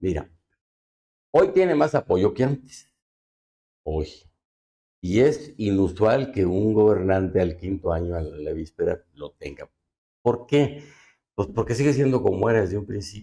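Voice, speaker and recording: A man's dark, mellow, somewhat breathy voice, fairly low in pitch with very wide pitch swings, at a fairly slow pace with long, frequent pauses. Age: 70s. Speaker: politician. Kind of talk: interview.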